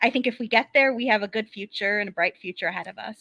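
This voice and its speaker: In a very clean recording with a silent background and a dry, close sound with no echo, the speaker uses a bright, sharp tone, ordinary pitch variation and a fairly quick pace. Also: woman. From US Midwest, Chicago area. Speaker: football fan panelist. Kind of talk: casual chat.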